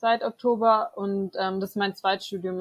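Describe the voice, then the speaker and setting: Speaking in an unremarkable speaking voice, a woman holds a medium pitch at a moderate pace. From Swabia, Germany (Böblingen near Stuttgart). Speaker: theology student and student tutor. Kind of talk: interview.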